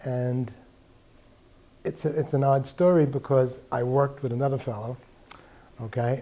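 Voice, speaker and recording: A man's medium-pitched voice, dark and mellow in tone and somewhat breathy, at a fairly slow pace with fairly even intonation. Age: 60s. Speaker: patient giving testimonial. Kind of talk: testimony. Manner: halting, with fillers.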